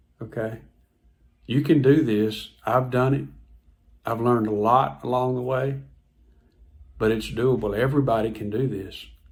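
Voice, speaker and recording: Recorded with audible room echo, a man speaks at a medium pitch and moderate pace with fairly even intonation and long, frequent pauses. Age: 60s. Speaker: health vlogger. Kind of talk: personal testimony vlog. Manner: casual, conversational with repetitions.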